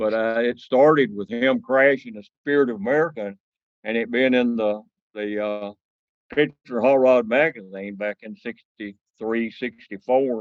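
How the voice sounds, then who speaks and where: A man at medium pitch in a Southern US accent, fairly slow, with fairly even intonation and big swings in loudness. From US South, northeast Mississippi. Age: 70s. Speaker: land speed racer and car collector. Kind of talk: podcast interview. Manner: halting, many fillers.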